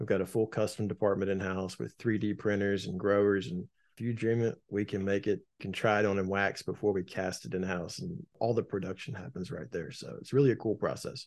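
A man's fairly quick speech in a plain, everyday voice, fairly low in pitch, with ordinary pitch variation. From Wilmington, North Carolina. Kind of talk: casual interview.

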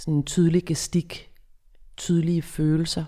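A woman speaks with a dark, mellow tone. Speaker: psychologist and author. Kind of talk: interview. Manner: clear, distinct articulation.

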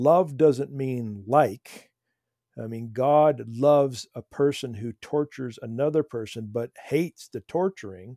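A man's dark, mellow voice at medium pitch, with ordinary pitch variation, big swings in loudness, a fairly slow pace and a dry, close sound with no echo. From rural farming town. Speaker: theology professor and author. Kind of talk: casual interview. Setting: remote call.

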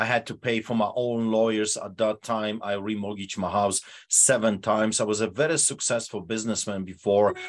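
A man talks at a moderate pace. His pitch is medium. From Poland. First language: Polish. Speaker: pastor. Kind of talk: interview. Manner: animated.

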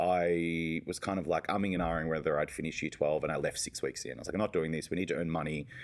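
This man speaks very fast. His accent is Australian. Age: 30s. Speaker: youth services executive. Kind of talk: interview. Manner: fast talker; animated.

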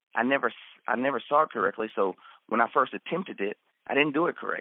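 Speaking with a slight Texas accent, a man has a fairly high pitch. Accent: slight Texas twang. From Texas, raised in Central Florida. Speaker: marriage ministry leader. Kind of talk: personal testimony.

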